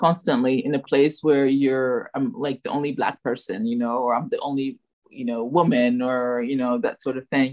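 A woman with an American accent speaks in a very deep, low pitch, her intonation lively. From Ghana, then US from age 13. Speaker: restaurant owner and entrepreneur. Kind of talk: interview. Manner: halting, many fillers.

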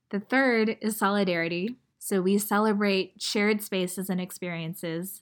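A woman's medium-pitched voice at a moderate pace, an ordinary speaking voice, on a very clean recording with a silent background. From US, Chinese American family. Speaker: podcast host and brand founder. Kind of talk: scripted narration.

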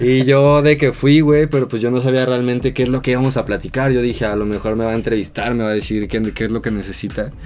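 A man talks at a very fast pace with hardly any pauses and fairly even intonation. There is noticeable background noise. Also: medium pitch for a man. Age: 20s. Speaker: photographer and video director. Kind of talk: casual chat. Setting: studio.

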